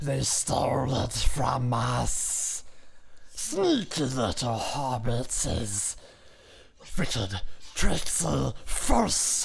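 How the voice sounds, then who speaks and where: A put-on character voice at a low-to-middle pitch, very slow, with long, frequent pauses. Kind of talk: fan voice-over impression. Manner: menacing, taunting, spiteful.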